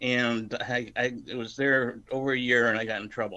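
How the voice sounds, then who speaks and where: A man speaks in a bright, sharp tone. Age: 60s. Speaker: retired IT programmer. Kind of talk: casual chat.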